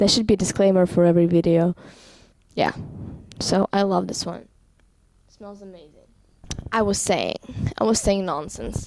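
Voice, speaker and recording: A woman with a non-native accent speaks at a medium pitch and a moderate pace. She leaves long, frequent pauses, and her loudness swings widely. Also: ordinary pitch variation. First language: not English. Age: 18. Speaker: vlogger. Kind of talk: casual vlog monologue. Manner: halting, with fillers.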